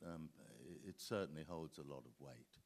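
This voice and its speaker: A man speaks with a very deep, low pitch and ordinary pitch variation. Vocal fry runs through his voice. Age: 70s. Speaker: actor. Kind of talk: panel talk. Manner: halting.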